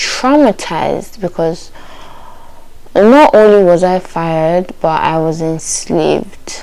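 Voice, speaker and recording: Speaking at a very slow pace with a Nigerian accent, the voice has lively intonation against noticeable background noise. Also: woman, fairly low pitch for a woman. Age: 20s. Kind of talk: casual story time to camera.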